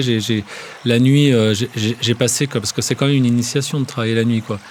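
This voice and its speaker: A man at medium pitch with a fairly quick pace and fairly even intonation. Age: 50s. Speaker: DJ. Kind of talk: casual chat. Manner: halting.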